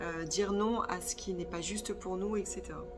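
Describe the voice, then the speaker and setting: Over music in the background and with audible room echo, a woman talks at a moderate pace in a medium pitch with fairly even intonation. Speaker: spiritual medium and energy therapist. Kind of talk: channelled spiritual guidance monologue. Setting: sitting on the floor, filming herself. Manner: hesitant, many filler sounds.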